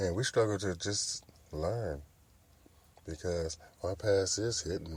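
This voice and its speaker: A somewhat breathy male voice with ordinary pitch variation at a fairly slow pace. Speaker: podcast host. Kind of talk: casual monologue.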